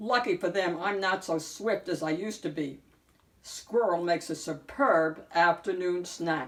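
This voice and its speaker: A woman in a put-on character voice, fairly low in pitch, at a moderate pace. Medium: read story.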